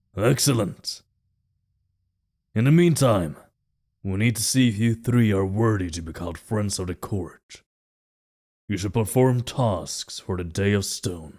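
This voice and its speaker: In a put-on character voice, a man speaks at a moderate pace with long, frequent pauses, on a very clean recording with a silent background. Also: fairly low pitch for a man. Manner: commanding.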